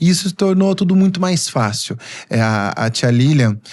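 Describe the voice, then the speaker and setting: This man's voice has lively intonation and a somewhat breathy quality. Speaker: physiotherapist. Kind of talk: podcast interview.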